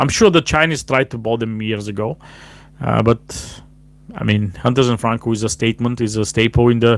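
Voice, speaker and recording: A man with a non-native accent talks at a fairly quick pace. His medium pitch varies in an ordinary way. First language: not English. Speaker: cigar show host, cigar lounge worker. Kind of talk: live stream casual talk. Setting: live stream, no proper mic. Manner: halting, many fillers.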